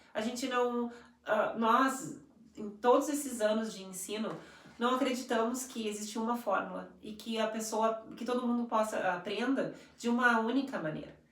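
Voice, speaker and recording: A woman with a fairly high pitch talks at a moderate pace with fairly even intonation and big swings in loudness. The recording has noticeable background noise and audible room echo. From Brazil. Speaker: English teacher and school coordinator. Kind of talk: live stream conversation. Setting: live stream.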